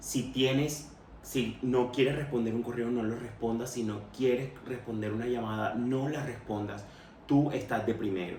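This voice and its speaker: A man's medium-pitched voice at a fairly slow pace, fairly even in intonation, with noticeable background noise and audible room echo. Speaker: podcast host sharing personal experience. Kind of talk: personal testimony monologue.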